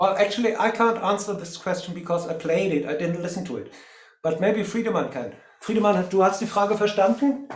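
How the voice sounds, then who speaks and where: A man at a high pitch and a fairly quick pace, with ordinary pitch variation, audible room echo and music in the background. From Germany. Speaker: cellist. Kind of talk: casual chat. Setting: video call.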